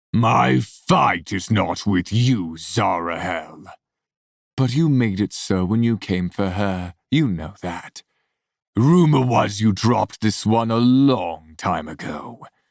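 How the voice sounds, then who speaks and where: A man puts on a gravelly, menacing character voice, fairly low and fairly slow. The recording is very clean with a silent background. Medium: read story. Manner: venomous, menacing.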